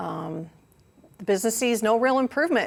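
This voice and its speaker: A woman with an American accent speaks at a fairly quick pace with lively intonation. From Kentucky, Louisville. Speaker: business consultant and project manager. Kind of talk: conference talk. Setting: stage with audience.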